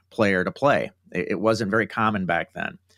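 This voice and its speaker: A man talks in an unremarkable speaking voice at a fairly low pitch. His intonation stays fairly even. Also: quiet background. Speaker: guest. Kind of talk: interview answer. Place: home room. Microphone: video call.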